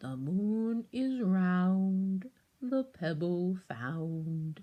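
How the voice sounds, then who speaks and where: A female-sounding voice puts on a character voice at a medium pitch. The pace is very slow. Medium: read story. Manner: solemn, riddling.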